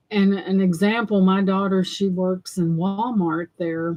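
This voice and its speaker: In a Southern US accent, a woman with a medium pitch speaks at a very slow pace. Her intonation is fairly even. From US South. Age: 60s. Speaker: thrift haul livestreamer. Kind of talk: casual livestream chat. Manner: rambling conversational.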